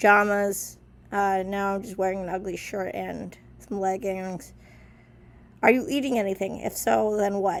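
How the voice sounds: Vocal fry at a fairly slow pace. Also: woman.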